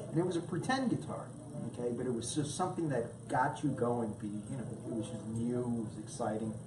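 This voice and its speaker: With a Brooklyn accent, a man speaks amid audible room echo and noticeable background noise. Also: medium pitch for a man, ordinary pitch variation, fairly quick pace. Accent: New York (Brooklyn). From New York, Brooklyn. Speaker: musician, guitarist. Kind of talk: casual interview. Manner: hesitant, many fillers and repeats.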